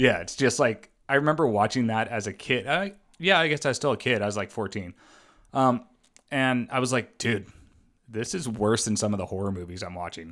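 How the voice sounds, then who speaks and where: Speaking at a fairly quick pace with lively intonation, a man uses a plain, everyday voice at a medium pitch, on a very clean recording with a silent background. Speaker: podcast co-host. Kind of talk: casual chat.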